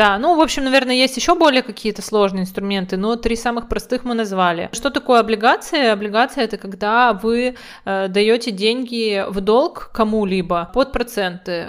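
A woman speaks at a moderate pace with ordinary pitch variation and a fairly high pitch. It is a normal speaking voice. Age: 30s. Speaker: podcast co-host. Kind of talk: casual chat.

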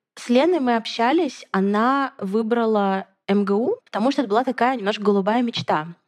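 A woman with an ordinary speaking voice talks at a moderate pace in a fairly high pitch. Her pitch variation is ordinary, and her loudness swings widely. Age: 20s. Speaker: podcast host. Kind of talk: casual chat.

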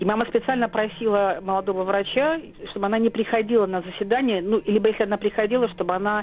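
The woman races along at a very fast pace, her medium pitch showing ordinary pitch variation. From Soviet Kyrgyzstan, Volga German family. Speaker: historian. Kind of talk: interview. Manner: halting, many fillers.

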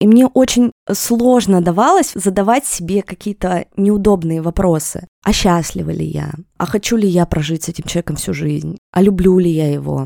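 This woman's fairly low voice has a dark, mellow tone, ordinary pitch variation and a moderate pace, recorded with a dry, close sound and no echo. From Russia, Yekaterinburg. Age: 30s. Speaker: podcast host. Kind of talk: interview.

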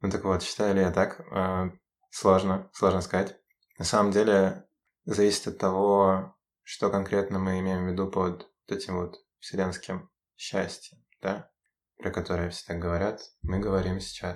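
On a very clean recording with a silent background, a man with a very deep, low pitch speaks at a fairly slow pace in a monotone, flat intonation, leaving long, frequent pauses. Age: 20s. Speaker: university student. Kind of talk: casual chat. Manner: halting.

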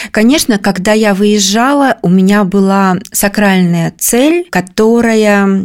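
This is a normal speaking voice from a woman, medium in pitch. She talks at a fairly slow pace with fairly even intonation. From Kemerovo region, Siberia. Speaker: round-the-world traveller. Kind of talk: interview.

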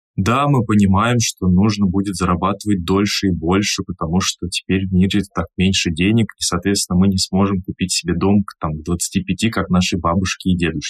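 A man speaks at a moderate pace with a very deep, low pitch, hardly any pauses, and fairly even intonation, the sound dry and close with no echo. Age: 30s. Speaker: podcast host, event host and speaking mentor. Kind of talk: casual podcast chat.

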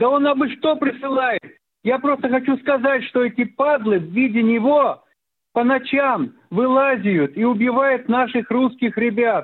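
A man speaks at an extremely high pitch with ordinary pitch variation. His pace is fairly slow and his loudness very even. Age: 80s+. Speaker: caller. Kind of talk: call-in question. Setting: phone call.

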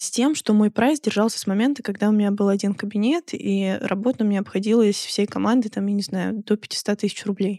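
A woman speaks at a medium pitch and a fairly quick pace, with a dark, mellow tone and ordinary pitch variation. The recording is very clean, with a silent background and a dry, close sound with no echo. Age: 20s. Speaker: podcast host, laser hair removal business owner. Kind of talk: casual chat.

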